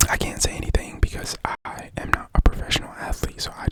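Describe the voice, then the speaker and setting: Amid noticeable background noise, a whisper proceeds at a moderate pace. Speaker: ASMR creator. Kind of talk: ASMR sports ramble. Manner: whispered.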